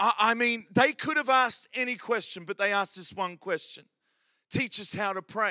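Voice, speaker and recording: Raised and projected, a man's high-pitched voice with an Australian accent carries a bright, sharp, animated tone at a moderate pace with ordinary pitch variation, in a dry, close sound with no echo. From Australia, Adelaide. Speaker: pastor. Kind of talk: sermon. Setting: church.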